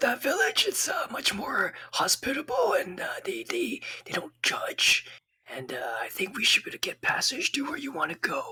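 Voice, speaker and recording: A man whispers in a raspy, put-on character voice. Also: moderate pace. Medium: actual play. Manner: easygoing, hesitant, filler-heavy.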